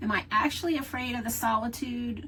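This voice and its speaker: A woman speaks at a fairly slow pace. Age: 60s. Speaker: solo-living video creator. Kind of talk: personal vlog talk. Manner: reflective, conversational.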